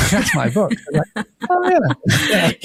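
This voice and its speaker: A man with an English accent talks with lively intonation, the sound dry and close with no echo. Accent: English accent, noticeable. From northern England (Scarborough, Yorkshire). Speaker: hospitality business founder and coach. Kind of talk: podcast interview.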